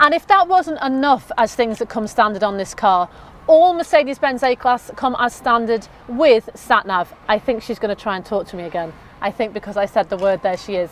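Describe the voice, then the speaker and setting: Animated and fairly high-pitched, a woman with a Liverpool accent swings her pitch very widely. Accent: Scouse (Liverpool). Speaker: car sales presenter. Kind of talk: product walkthrough. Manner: fast.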